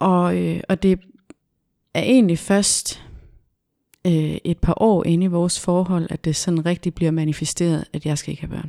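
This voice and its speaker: A woman with a fairly low pitch and a dark, mellow tone speaks at a fairly slow pace with long, frequent pauses and fairly even intonation, in a dry, close sound with no echo. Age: 30s. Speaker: self-employed business owner. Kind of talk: podcast interview. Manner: hesitant, many fillers.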